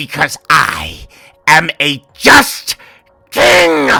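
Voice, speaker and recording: A man puts on a character voice that is raspy and fairly high in pitch. The sound is dry and close, with no echo. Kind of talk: read story. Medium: read story. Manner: rising rage, manic.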